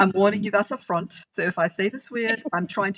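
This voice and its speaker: Her medium pitch shows ordinary variation as this woman speaks at a fairly quick pace in a somewhat breathy voice. The sound is dry and close, with no echo. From Germany (Frankfurt), grew up in Europe. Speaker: indie fantasy author. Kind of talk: interview. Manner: rolls R's.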